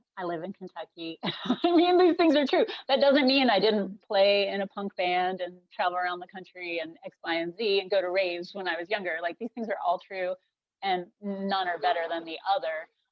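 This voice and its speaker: A woman with an American accent talks at a moderate pace in an ordinary speaking voice, her pitch medium. Her pitch variation is ordinary, while her loudness swings widely. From US South, North Carolina. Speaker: craftswoman. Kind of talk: interview.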